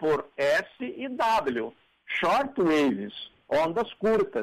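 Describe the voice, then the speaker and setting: A man's voice with very wide swings in pitch. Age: 70s. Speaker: language professor and writer commenting on radio. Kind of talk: radio commentary on word origins. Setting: radio studio.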